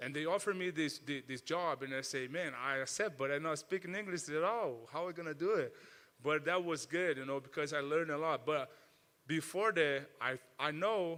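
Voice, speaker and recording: A man's fairly high voice with a Portuguese accent, bright and sharp in tone, at a moderate pace with ordinary pitch variation. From Brazil. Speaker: mixed martial arts fighter. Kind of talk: interview. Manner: halting, many repetitions.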